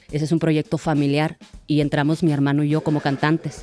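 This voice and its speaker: A woman with a very deep, low pitch talks at a fairly quick pace, her voice dry and close with no echo as music plays behind her. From Hermosillo, Sonora, Mexico. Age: 30s. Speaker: singer and percussionist contestant. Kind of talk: interview testimony.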